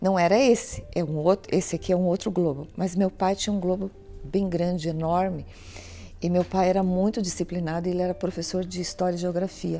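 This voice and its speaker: Music plays in the background as a woman with medium pitch talks at a moderate pace with fairly even intonation. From Brazil, Paraná (Curitiba). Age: 60s. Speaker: pastor. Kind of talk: interview.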